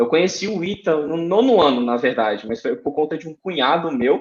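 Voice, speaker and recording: A man speaks in a Ceará accent at a fairly high pitch. His intonation is lively. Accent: Cearense (northeastern Brazilian). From Brazil, Ceará (Fortaleza). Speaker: aeronautical engineer. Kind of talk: podcast interview.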